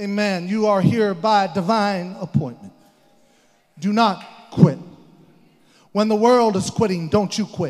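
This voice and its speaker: An animated, high-pitched man's voice with long, frequent pauses, over music in the background. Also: ordinary pitch variation, fairly slow pace. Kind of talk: sermon, preacher in full flow, exhorting a congregation. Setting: church. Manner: animated, emphatic, call-and-response, urging the crowd; repetitive, rising in intensity toward an altar call.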